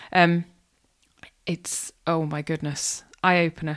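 The speaker is a woman with a Welsh accent. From North Wales. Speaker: podcast host. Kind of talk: interview.

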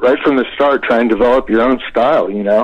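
A man speaks at a medium pitch with an American accent. His intonation stays monotone and flat. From Florida. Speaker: rock singer. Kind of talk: casual interview.

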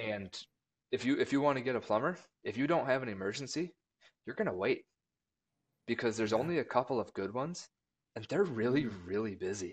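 Against a quiet background, a man with an Upper Midwest accent talks very fast at medium pitch, with lively intonation and long, frequent pauses. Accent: Upper Midwest (Minnesota). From Minnesota (rural southwest). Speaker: marketing director. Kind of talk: casual chat.

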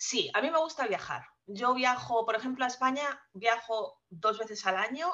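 A woman talks at a moderate pace with a Spanish accent. Her high voice has a bright, sharp tone and lively intonation. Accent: noticeable Spanish (Spain). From Spain. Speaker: guest sharing personal finance story. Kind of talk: casual interview.

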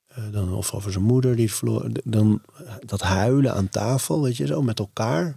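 Lively in intonation yet fairly slow in pace, a man speaks with a fairly low, somewhat breathy voice that has a dark, mellow tone. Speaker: podcast host. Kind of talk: interview.

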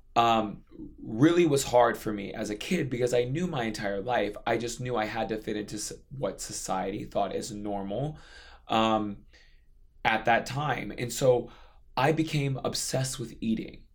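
At a moderate pace, a man speaks at a medium pitch with ordinary pitch variation, and audible room echo surrounds him. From Hawaii. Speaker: fitness trainer. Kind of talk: casual interview.

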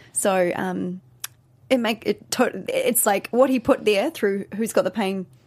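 The speaker has a New Zealand accent and a moderate pace. Pitch varies in an ordinary way. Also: woman. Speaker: co-host, dancer, dance company owner. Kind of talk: casual chat review.

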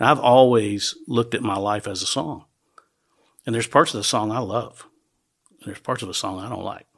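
Delivered with a Southern US accent, the speech moves at a fairly quick pace, broken by long, frequent pauses, with big swings in loudness and ordinary pitch variation. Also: man, medium pitch for a man. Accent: US South. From Nashville, Tennessee. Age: 60s. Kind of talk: casual chat.

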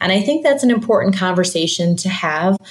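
A woman speaks with a Midwestern American accent. Noticeable background noise runs under her voice. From US Midwest (Michigan). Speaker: human rights researcher and author. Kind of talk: interview.

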